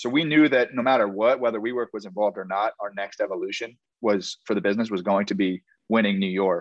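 At a very fast pace, a man speaks in a medium pitch with ordinary pitch variation. The sound is dry and close with no echo, over a quiet background. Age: 20s. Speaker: beverage startup founder. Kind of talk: casual interview chat.

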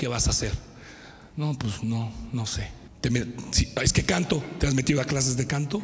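In a Mexican accent, a man speaks at a medium pitch and a moderate pace, with an animated tone and long, frequent pauses. Noticeable background noise and audible room echo fill the recording. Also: ordinary pitch variation. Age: 50s. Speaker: pastor. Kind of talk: sermon.

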